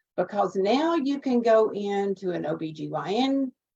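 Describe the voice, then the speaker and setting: A woman's voice carries a dark, mellow tone and lively intonation. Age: 70s. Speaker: medical coding instructor. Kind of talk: panel discussion.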